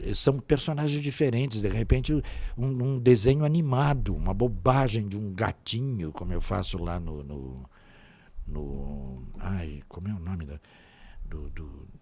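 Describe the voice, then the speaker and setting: Moving at a fairly slow pace, the voice has a dark, mellow tone, very wide pitch swings and big swings in loudness. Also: man, fairly low pitch for a man. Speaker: voice actor. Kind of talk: interview answer.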